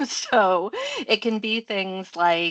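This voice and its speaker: Against a quiet background, a woman with an American accent speaks in a bright, sharp tone, the sound dry and close with no echo. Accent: American, unchanged. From US Midwest, Michigan. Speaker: professor and coach. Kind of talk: interview. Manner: conversational, many fillers.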